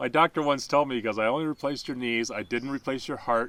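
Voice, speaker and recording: This man's tone is bright and sharp, his pitch medium and his intonation fairly even. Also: very clean recording, silent background. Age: 60s. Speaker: hiker with knee replacements. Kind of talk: casual interview on the trail. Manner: halting, with many fillers.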